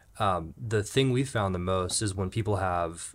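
Recorded very cleanly against a silent background, a man with an American accent speaks at a moderate pace in an unremarkable speaking voice, fairly low in pitch with ordinary pitch variation. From Jacksonville, Florida. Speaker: podcast host, mountain bike coach. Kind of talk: casual interview.

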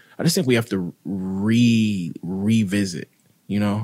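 The voice belongs to a man with a fairly low pitch and ordinary pitch variation. The sound is dry and close, with no echo. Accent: American. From Mississippi. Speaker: writer. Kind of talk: casual chat.

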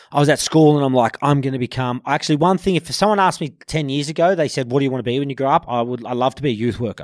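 Speaking very fast in a fairly high voice, a man with an Australian accent comes through in a dry, close sound with no echo. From Sydney, Australia (Bondi, eastern suburbs). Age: 30s. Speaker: carpenter and former heavy metal band frontman. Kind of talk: casual interview.

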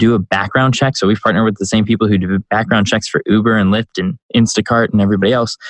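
A man with a fairly low pitch races along at a very fast pace with hardly any pauses, very even loudness, and fairly even intonation, recorded dry and close with no echo. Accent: American. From US Midwest, Chicago. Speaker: startup CEO and entrepreneur. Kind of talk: interview.

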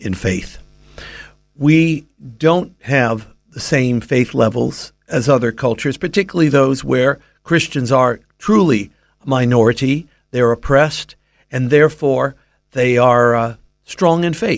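With an American accent, the speaker moves at a fairly slow pace with long, frequent pauses and ordinary pitch variation on a very clean recording with a silent background. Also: man. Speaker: Bible teacher. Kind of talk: radio interview on faith.

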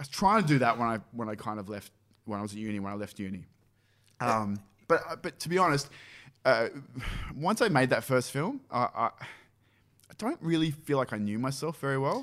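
A man's medium-pitched voice with an Australian accent, lively intonation and a fairly quick pace broken by long, frequent pauses. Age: 30s. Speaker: film director. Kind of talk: casual chat. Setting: office used as makeshift studio.

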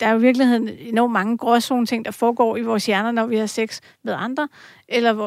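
Fairly quick and monotone, a woman's fairly high voice carries flat intonation in a very clean recording with a silent background. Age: 40s. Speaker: journalist and columnist. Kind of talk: casual chat. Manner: halting, many fillers.

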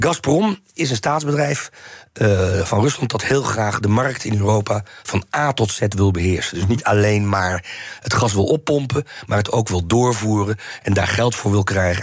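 Noticeable background noise sits behind a man whose pitch rises and falls in an ordinary way. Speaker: historian and Russia expert. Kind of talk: interview. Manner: halting.

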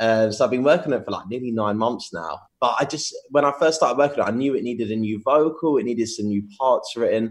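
Hardly pausing, a man with an English accent talks at a very fast pace. His pitch moves with ordinary variation. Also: medium pitch for a man. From England. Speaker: DJ and music producer. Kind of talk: interview.

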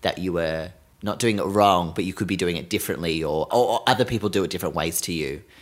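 Very fast and very deep, a man talks with an Australian accent in a very clean recording with a silent background. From Australia, Sydney. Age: 20s. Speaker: podcast host. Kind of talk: casual chat.

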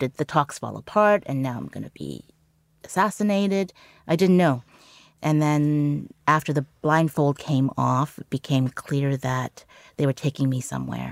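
With a Canadian accent, a woman talks at a moderate pace in a very deep, low voice, her pitch varying in an ordinary way while her loudness swings widely, all in a dry, close sound with no echo. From Canada. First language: Cantonese. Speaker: journalist. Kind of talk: interview.

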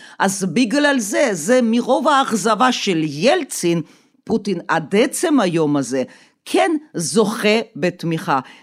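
In a very clean recording with a silent background, a woman speaks very slowly, her loudness very even while her pitch swings very widely. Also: medium pitch for a woman. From Soviet Union. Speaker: Russia expert. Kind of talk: interview.

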